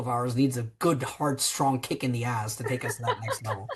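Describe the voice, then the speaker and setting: A man speaks in an animated tone with an American accent. His pitch sits in the medium range. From New Jersey, US. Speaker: tech company founder and CEO. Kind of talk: podcast interview. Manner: animated, many fillers and restarts.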